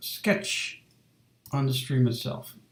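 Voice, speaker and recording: A man speaks at a fairly slow pace. His medium-pitched voice is somewhat breathy. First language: not English. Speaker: illustrator streaming a drawing session. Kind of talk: casual live-stream talk. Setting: home live stream, door shut. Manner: halting, many fillers.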